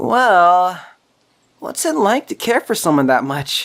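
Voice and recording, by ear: This is a put-on character voice. It moves slowly, with big pitch swings. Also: woman, fairly low pitch for a woman.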